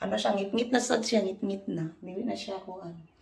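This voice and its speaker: A woman speaks at a medium pitch and a moderate pace, with ordinary pitch variation. Background noise is noticeable. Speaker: vlogger. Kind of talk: casual vlog chat.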